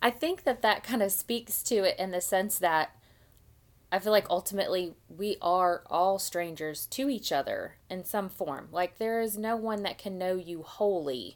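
Captured on a very clean recording with a silent background, a woman with a plain, everyday voice speaks at a fairly slow pace with ordinary pitch variation. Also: medium pitch for a woman. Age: 30s. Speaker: book club podcast co-host. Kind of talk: casual chat.

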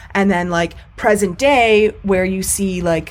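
Using a normal speaking voice, a woman talks at a moderate pace with medium pitch and fairly even intonation. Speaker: podcast co-host. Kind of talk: casual banter. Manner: joking, sarcastic.

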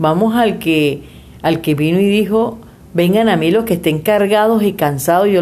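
A woman with a medium pitch and lively intonation speaks at a fairly slow pace amid audible room echo. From Venezuela. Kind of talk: casual faith chat.

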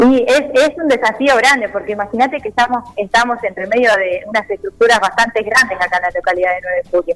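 A woman's fairly high voice at a very fast pace with hardly any pauses, ordinary pitch variation, and noticeable background noise. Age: 20s. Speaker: local political candidate. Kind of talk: radio interview.

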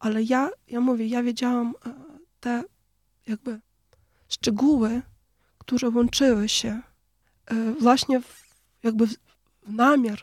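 Speaking very slowly with a Ukrainian accent, a woman with a high pitch keeps her intonation fairly even in a dry, close sound with no echo. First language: Ukrainian (speaking Polish). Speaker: poet. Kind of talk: interview.

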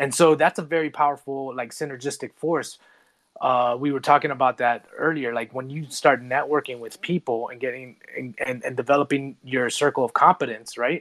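A man with a normal speaking voice talks at a moderate pace and a fairly high pitch, his intonation fairly even but his loudness swinging widely. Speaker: podcast host and men's coach. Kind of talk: interview conversation. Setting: online audio space.

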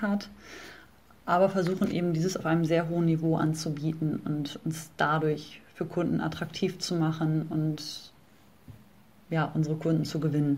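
In a room with audible echo, a woman speaks at a moderate pace in a fairly low, somewhat breathy voice with monotone, flat intonation. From northern Germany (Bremen). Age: 30s. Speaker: personal trainer. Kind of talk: interview.

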